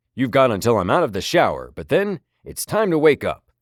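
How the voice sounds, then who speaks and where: A man speaks at a fairly quick pace in a put-on character voice, captured in a very clean recording with a silent background. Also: fairly high pitch for a man. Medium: read story. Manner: gentle, playful.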